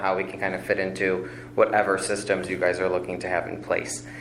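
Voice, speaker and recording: A man with an American accent, in a room with audible echo. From Chicago area, Illinois. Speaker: functional medicine practitioner, applicant. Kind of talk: public hearing testimony. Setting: village plan commission meeting. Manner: fast.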